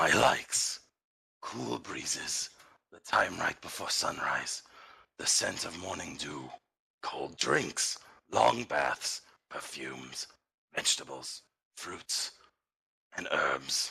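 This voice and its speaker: A man in a put-on character voice speaks at a very slow pace with a very deep, low pitch, big swings in loudness, and long, frequent pauses. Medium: actual play. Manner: grave, formal.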